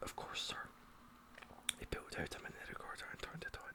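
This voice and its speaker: Whispering at a fairly quick pace, a man with a Scottish accent is heard over noticeable background noise. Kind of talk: ASMR whispered book reading. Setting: binaural microphone. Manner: whispered, soft-spoken.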